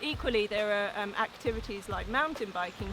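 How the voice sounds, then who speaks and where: A woman with a fairly high pitch keeps a moderate pace as noticeable background noise persists. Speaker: outdoors journalist and blogger. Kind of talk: casual promotional talk to camera. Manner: hesitant with frequent ums.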